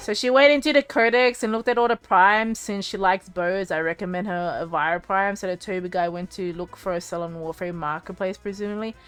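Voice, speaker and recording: Over music in the background, a woman of medium pitch speaks at a very fast pace with ordinary pitch variation. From Australia, Cambodian heritage. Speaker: streamer. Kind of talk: casual livestream chat. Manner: fast, halting with many fillers and restarts.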